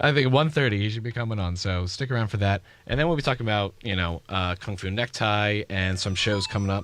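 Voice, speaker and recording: Very fast and with hardly any pauses, a man talks at a fairly low pitch with ordinary pitch variation. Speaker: college radio host. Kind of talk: casual radio chat.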